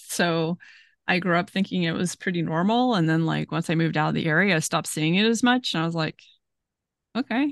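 With an ordinary speaking voice, a woman with a fairly low pitch speaks at a fairly quick pace and ordinary pitch variation, recorded dry and close with no echo over a quiet background. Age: 40s. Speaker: podcast co-host. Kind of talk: casual chat. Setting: video call.

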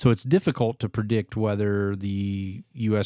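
A man is speaking. His pitch is fairly low. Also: very clean recording, silent background. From US Midwest. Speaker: podcast host. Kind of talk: casual chat. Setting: home man cave set.

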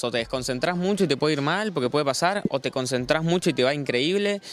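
The speaker talks at a very fast pace in a Rioplatense accent. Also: man. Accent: Argentine Rioplatense Spanish. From Argentina, Buenos Aires province (Lobería). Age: 20s. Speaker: freestyle rapper. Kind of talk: casual interview.

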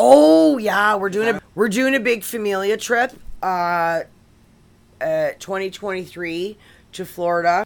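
On a very clean recording with a silent background, a woman speaks at a medium pitch and fairly slow pace with ordinary pitch variation. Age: 50s. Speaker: guest host. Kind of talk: casual chat. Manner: halting.

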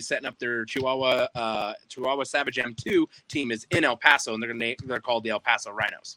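A man's voice with a bright, sharp tone, in a dry, close sound with no echo. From New Mexico. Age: 30s. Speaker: indoor soccer club owner. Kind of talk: casual chat.

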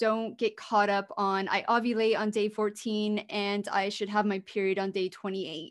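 A woman with a plain, everyday voice, medium pitch, moderate pace and fairly even intonation, in a very clean recording with a silent background. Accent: American. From US. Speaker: podcast host, holistic fertility coach. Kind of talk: solo podcast monologue, advice.

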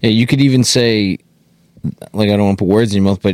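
A man with an ordinary speaking voice and fairly low pitch shows ordinary pitch variation, recorded with a dry, close sound and no echo. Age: 30s. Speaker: podcast co-host. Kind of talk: casual chat. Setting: studio.

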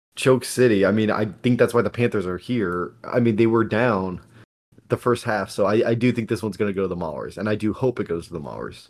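A man with an unremarkable speaking voice, fairly low in pitch, with ordinary pitch variation at a fairly quick pace. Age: 20s. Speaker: sports podcast co-host. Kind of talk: casual chat.

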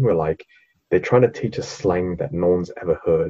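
A man speaks with an Australian accent. His pitch is fairly low and his voice somewhat breathy. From Sydney, Australia, Vietnamese family. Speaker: podcast co-host. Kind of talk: casual chat.

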